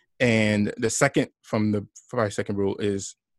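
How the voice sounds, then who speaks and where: A man with an American accent and an ordinary speaking voice talks at a fairly slow pace and fairly low pitch, the sound dry and close with no echo over a quiet background. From New York (Brooklyn, Long Island), Haitian parents. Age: 40s. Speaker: entrepreneur, former corporate employee. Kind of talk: interview conversation.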